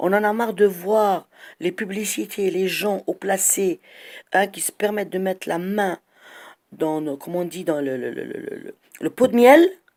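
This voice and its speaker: On a very clean recording with a silent background, a woman talks at a fairly slow pace with lively intonation, big swings in loudness and long, frequent pauses. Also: medium pitch for a woman. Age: 60s. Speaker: citizen vlogger. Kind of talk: monologue complaint. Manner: halting.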